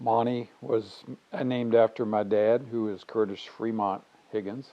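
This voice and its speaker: A man with a normal speaking voice talks at a fairly slow pace and fairly low pitch, keeping his intonation fairly even. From Virginia, Lexington area. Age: 60s. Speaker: father being interviewed about his life. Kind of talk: life story interview.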